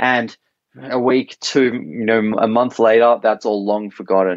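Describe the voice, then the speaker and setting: A man speaks at a medium pitch. His pace is moderate, with ordinary pitch variation. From Australia. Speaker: startup co-founder. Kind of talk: podcast interview. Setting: remote call. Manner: hesitant, many fillers.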